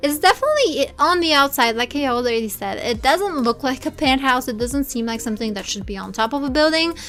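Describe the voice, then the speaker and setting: Over noticeable background noise, a woman with a high pitch and ordinary pitch variation talks at a fairly quick pace with hardly any pauses. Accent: Bulgarian. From Bulgaria. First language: Bulgarian. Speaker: video game builder YouTuber. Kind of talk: gameplay commentary voiceover. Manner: jittery, babbling.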